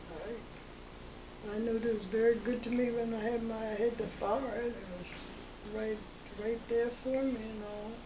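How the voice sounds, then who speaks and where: A woman with an American accent speaks in a flat monotone, leaving long, frequent pauses, over noticeable background noise. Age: 80s+. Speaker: oral history interviewee, long-time resident. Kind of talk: oral history interview answer. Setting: home interview.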